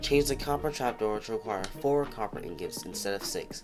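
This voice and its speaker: A man talks at a fairly quick pace. Music can be heard in the background. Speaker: gaming video creator. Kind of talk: casual gaming commentary. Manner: sleepy, slurred.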